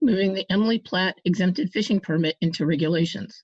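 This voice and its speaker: A woman with a medium pitch sounds somewhat breathy, her pitch varying in an ordinary way. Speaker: advisory panel representative. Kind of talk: formal report presentation.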